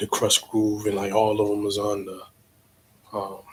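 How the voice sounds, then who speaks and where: In a relaxed tone, a man speaks at a moderate pace, his voice fairly low, somewhat breathy, and monotone with flat intonation. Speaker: DJ and livestream host. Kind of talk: casual livestream talk. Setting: home livestream on computer. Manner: relaxed, with many fillers.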